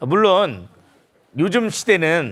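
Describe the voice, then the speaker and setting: A man with a high pitch and lively intonation, in a very clean recording with a silent background. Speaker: pastor. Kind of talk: sermon.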